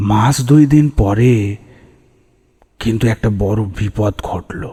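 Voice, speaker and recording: A man puts on a character voice with a fairly low pitch. He speaks at a very slow pace. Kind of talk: horror narration. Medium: read story. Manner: measured, atmospheric.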